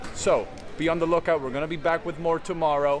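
A man's voice with faint music in the background. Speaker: vlogger reporter. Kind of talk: casual vlog chat. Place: street. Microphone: phone near.

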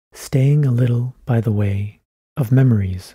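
A man with a medium pitch and a dark, mellow, somewhat breathy tone speaks in a calm tone with ordinary pitch variation, recorded dry and close with no echo. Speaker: ASMR creator. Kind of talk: gentle ASMR reading aloud of short classic poems. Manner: soft-spoken, hushed and close, calm unhurried pacing; measured, lilting delivery following the verse rhythm.

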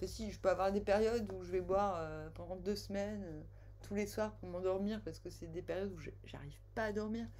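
Over light background noise, a woman talks at a fairly quick pace with big swings in loudness. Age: 40s. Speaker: tarot card reader. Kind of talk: casual personal storytelling; tarot reading monologue. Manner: animated; hesitant with fillers. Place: home room. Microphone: webcam.

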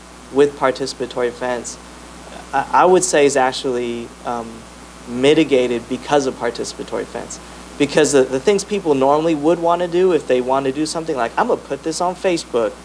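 At a fairly quick pace, a man talks with ordinary pitch variation over light background noise. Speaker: presenter. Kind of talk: panel answer to audience question. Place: meeting room. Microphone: handheld.

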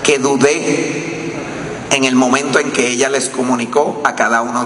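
A man speaks at a moderate pace with ordinary pitch variation. There is audible room echo and light background noise. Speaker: husband of the deceased journalist. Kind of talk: eulogy speech. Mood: grieving, solemn, tender. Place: hall. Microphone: podium.

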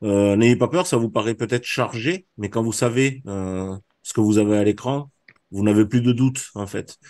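Ordinary pitch variation runs through this dark, mellow tone. The pace stays moderate. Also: man. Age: 60s. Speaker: trading trainer. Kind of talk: online presentation of a training course. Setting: video call.

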